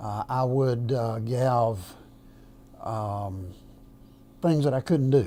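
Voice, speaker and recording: A man's medium-pitched, dark, mellow voice at a very slow pace, with ordinary pitch variation and audible room echo. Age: 70s. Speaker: semi-retired minister, heart patient. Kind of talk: interview testimony. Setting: filmed interview on camera. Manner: halting, many fillers.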